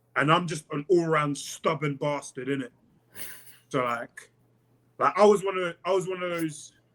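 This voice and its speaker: A man's high voice at a moderate pace, with ordinary pitch variation and long, frequent pauses. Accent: London. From South East London, England. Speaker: pro MMA fighter. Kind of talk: casual podcast interview.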